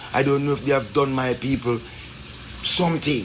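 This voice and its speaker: A man with a Jamaican accent speaks at a fairly quick pace and a medium pitch. Noticeable background noise runs behind him. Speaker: Rastafarian commentator. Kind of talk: social commentary monologue. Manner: impassioned.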